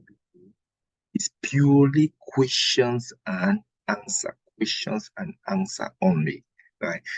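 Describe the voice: With big pitch swings, vocal fry and a slightly husky edge, a man speaks at medium pitch in a dry, close sound with no echo.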